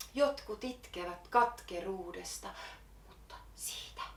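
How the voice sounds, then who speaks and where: The room echo can be heard clearly. A woman talks very slowly. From Finland. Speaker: poet. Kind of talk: slam poetry performance.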